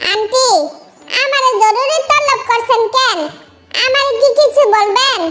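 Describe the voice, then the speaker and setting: Putting on a squeaky, cartoonish character voice, a woman speaks at an extremely high pitch and a fairly slow pace. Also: ordinary pitch variation. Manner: casual, offhand.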